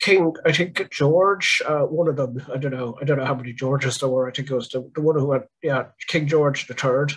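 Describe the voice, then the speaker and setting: A man, somewhat breathy, at a fairly quick pace with fairly even intonation against a quiet background. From Ireland. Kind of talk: online panel presentation. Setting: video call. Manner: halting. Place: home room. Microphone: video call.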